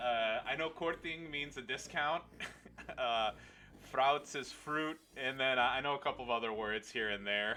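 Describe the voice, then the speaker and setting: A man speaks in an unremarkable speaking voice at a medium pitch. His pitch variation is ordinary and his pace moderate. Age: 30s. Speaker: video game streamer. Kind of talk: casual chat.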